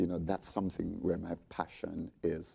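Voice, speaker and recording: A man with a Jamaican accent speaks at a moderate pace in a very deep, low voice with monotone, flat intonation. The recording is very clean with a silent background. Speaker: resort sales representative. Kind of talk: panel discussion.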